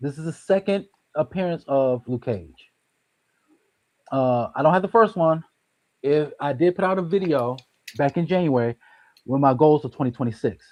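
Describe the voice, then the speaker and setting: A man's fairly high voice with an American accent, lively intonation, long, frequent pauses, and a dry, close sound with no echo. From Detroit, US Midwest. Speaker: comic book collector, YouTuber. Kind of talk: casual chat. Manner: fast.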